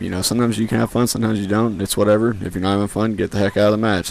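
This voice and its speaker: Fairly low-pitched male speech. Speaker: gaming youtuber. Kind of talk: gameplay commentary. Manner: halting, filler-heavy.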